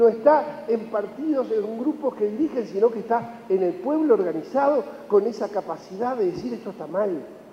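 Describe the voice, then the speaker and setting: Over noticeable background noise, a man with a high pitch speaks in an animated tone with lively intonation and hardly any pauses. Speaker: economist speaker at a conference. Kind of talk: conference talk. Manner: fast.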